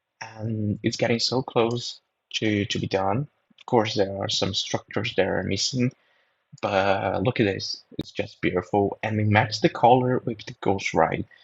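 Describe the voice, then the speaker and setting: A man with a Brazilian accent speaks fairly slowly in a somewhat breathy, fairly low voice with fairly even intonation and a dry, close sound with no echo. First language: Portuguese. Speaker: drone videographer. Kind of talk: voiceover commentary. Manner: halting.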